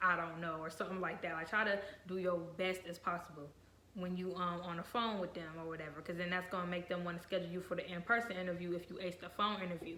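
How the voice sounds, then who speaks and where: Very fast speech in an American accent comes through noticeable background noise. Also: woman. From Virginia and Ohio. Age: young. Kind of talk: casual talk to camera.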